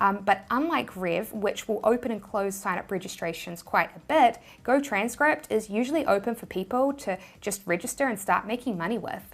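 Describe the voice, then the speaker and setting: With a New Zealand accent, a woman speaks at a moderate pace and fairly high pitch with lively intonation, in a very clean recording with a silent background. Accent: New Zealand accent, noticeable. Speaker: YouTuber, money-making tips. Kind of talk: tutorial.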